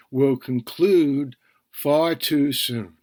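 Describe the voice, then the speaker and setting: In a Bronx accent, a man talks very slowly at a fairly high pitch with lively intonation, in a very clean recording with a silent background. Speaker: podcast TV critic. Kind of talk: solo podcast review.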